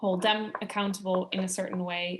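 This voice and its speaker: Against a quiet background, a woman with a Dutch accent talks at a medium pitch in a monotone, flat intonation. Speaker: climate campaigner. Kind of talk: webinar panel discussion. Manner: hesitant, many fillers.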